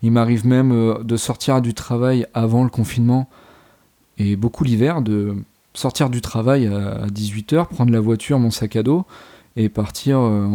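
Speech comes at a fairly slow pace with ordinary pitch variation. Its tone is dark and mellow. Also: man. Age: 20s. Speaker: volunteer firefighter and outdoorsman. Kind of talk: casual interview.

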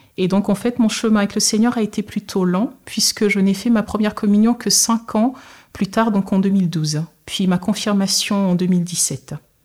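A somewhat breathy woman speaks fairly slowly at a very even loudness in a very clean recording with a silent background. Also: medium pitch for a woman, fairly even intonation. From Togo. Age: 30s. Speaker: nurse. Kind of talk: testimony. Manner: hesitant, with frequent fillers.

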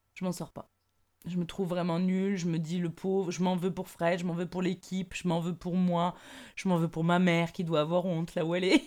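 A woman talks at a fairly quick pace. Her voice is fairly low in pitch, with monotone, flat intonation. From southern France. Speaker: improv actress. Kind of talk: casual interview. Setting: remote recording.

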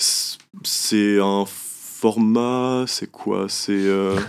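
Man's voice with ordinary pitch variation. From Brittany, France. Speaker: young musician and columnist. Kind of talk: radio talk show. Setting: radio studio.

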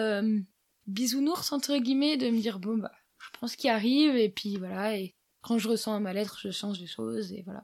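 This woman has an ordinary speaking voice, fairly high in pitch, with ordinary pitch variation, a moderate pace and big swings in loudness. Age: 20s. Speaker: electronics engineer and highline instructor. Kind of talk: casual interview. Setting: at the guest's home.

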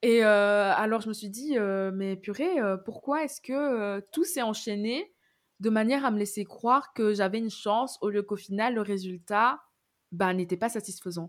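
Fairly high in pitch with ordinary pitch variation, a woman with an unremarkable speaking voice talks at a fairly slow pace. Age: 20s. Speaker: communications graduate. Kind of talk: casual chat. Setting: remote call.

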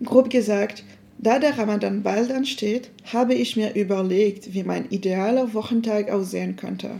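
Dark and mellow in tone, a woman's fairly high voice moves with fairly even intonation. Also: moderate pace. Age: 20s. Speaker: university student.

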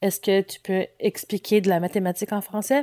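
A woman with a dark, mellow tone and medium pitch speaks at a moderate pace in a very clean, silent recording, dry and close with no echo. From Nova Scotia, Halifax. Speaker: writer and activist. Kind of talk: interview.

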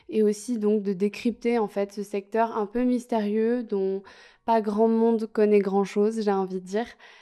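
Her fairly high pitch, dark, mellow tone and monotone, flat intonation carry a woman's speech at a fairly slow pace. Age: 20s. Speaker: student podcaster. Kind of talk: podcast introduction monologue. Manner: hesitant, frequent fillers.

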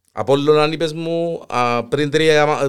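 A Cypriot accent with fairly even intonation. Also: man. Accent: Cypriot Greek. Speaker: podcast host. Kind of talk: casual chat. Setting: studio.

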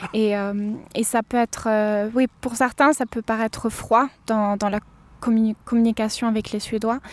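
In a very clean recording with a silent background, a woman speaks at a fairly slow pace. Her pitch is fairly high and her intonation monotone and flat. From southern France, Cévennes. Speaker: student living abroad. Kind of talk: interview. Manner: halting.

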